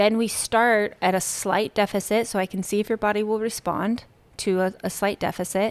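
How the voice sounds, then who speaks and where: A woman speaks at a moderate pace in a medium pitch with a monotone, flat intonation, in a very clean recording with a silent background. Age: 40s. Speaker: nutrition coach and gym owner. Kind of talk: interview.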